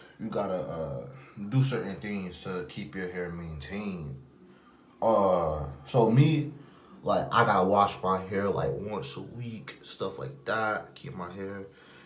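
A man's fairly low voice at a very slow pace, with long, frequent pauses, big swings in loudness and audible room echo. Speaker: vlogger. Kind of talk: casual vlog chat. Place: bathroom. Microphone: phone near.

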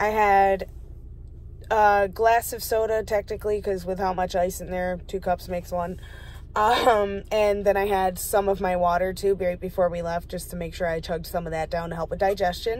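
A woman speaks at a moderate pace in a monotone, flat delivery. The sound is dry, with no echo. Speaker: vlogger. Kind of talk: casual vlog chat. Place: car.

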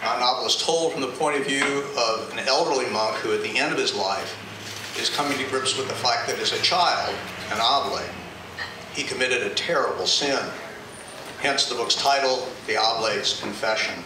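Against noticeable background noise and audible room echo, a man speaks at a moderate pace with long, frequent pauses. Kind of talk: book talk to live audience. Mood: warm, measured. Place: cafe.

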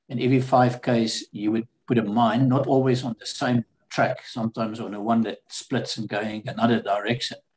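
A man speaks in a flat, monotone way. He barely pauses at all. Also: moderate pace. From South Africa. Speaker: war veteran. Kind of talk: interview. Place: home room. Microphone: webcam.

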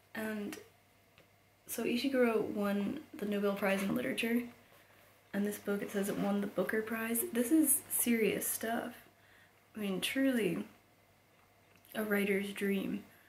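Over noticeable background noise, a woman with a fairly high voice talks at a fairly slow pace with ordinary pitch variation and long, frequent pauses. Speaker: book reviewer. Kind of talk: casual book review. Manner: hesitant, frequent ums.

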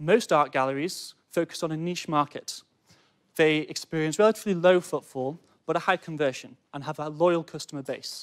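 In a northern English accent, a man speaks at a moderate pace and a fairly high pitch with fairly even intonation and big swings in loudness, over a quiet background. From Cheshire, England; England. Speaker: student entrepreneur. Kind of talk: sales pitch. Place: studio. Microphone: lapel.

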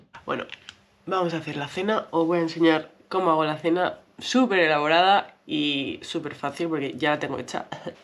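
A woman speaks at a moderate pace, her pitch fairly low and varying in an ordinary way. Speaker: vlogger. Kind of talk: casual vlog chat. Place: kitchen. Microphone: phone near.

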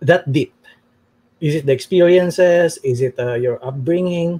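At a fairly slow pace, a man with a Filipino accent speaks at a high pitch with lively intonation. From Philippines. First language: Tagalog. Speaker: TV talk show host. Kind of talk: interview. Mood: friendly, curious. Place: home room. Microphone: webcam.

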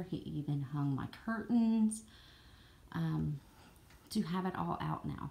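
A woman speaks with a Southern US accent in a very deep, low voice. Her tone is dark and mellow, and somewhat breathy. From Southern United States. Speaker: jigsaw puzzle hobbyist. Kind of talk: casual talk to camera. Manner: rambling. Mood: friendly, slightly apologetic. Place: home room. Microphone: phone near.

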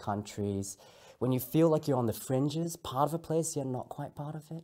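Against a quiet background, a man speaks at a moderate pace with a confident tone. His voice has a dark, mellow tone and lively intonation. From Singapore. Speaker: speaker giving a talk. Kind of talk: talk delivered to camera. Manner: trained, confident public speaker. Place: studio.

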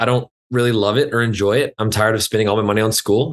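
A man talking very fast with fairly even intonation and an American accent, against a quiet background. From West Texas (Lubbock area). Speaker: fitness trainer. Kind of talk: casual interview chat. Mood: relaxed storytelling. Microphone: video call.

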